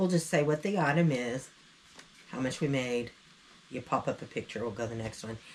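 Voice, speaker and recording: Intonation is lively in this voice with a Southern US accent, broken by long, frequent pauses. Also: woman, very deep, low pitch for a woman, fairly quick pace. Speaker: online reseller, channel co-host. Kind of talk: casual chat.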